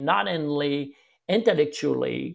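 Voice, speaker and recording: A man with a French-Canadian accent talks at a fairly slow pace. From Quebec, Canada. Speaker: golf instructor. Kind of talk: interview conversation.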